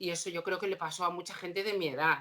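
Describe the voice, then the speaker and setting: A woman speaks at a fairly quick pace in a fairly low voice. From Asturias, Spain. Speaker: opera singer. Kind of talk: casual chat.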